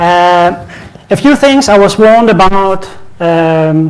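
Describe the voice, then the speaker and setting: A man with a Danish accent speaks at a high pitch. Audible room echo and noticeable background noise surround his voice. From Denmark. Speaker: IT conference speaker. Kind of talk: conference presentation. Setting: stage with audience.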